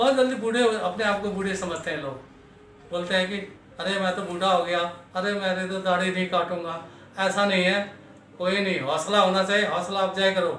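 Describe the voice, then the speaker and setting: A man's high-pitched voice with fairly even intonation, audible room echo and noticeable background noise. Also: moderate pace. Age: 70s. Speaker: retired army veteran. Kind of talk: personal life story interview. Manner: halting, with filler sounds.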